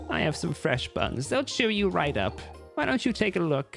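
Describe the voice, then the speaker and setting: Over faint music in the background, a man uses a put-on character voice at a fairly high pitch, with very even loudness and a moderate pace. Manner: cheeky, coaxing.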